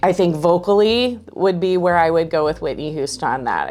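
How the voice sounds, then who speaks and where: With music in the background, a woman speaks at a moderate pace in a fairly low pitch. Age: 40s. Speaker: voice teacher. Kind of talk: interview. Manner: halting.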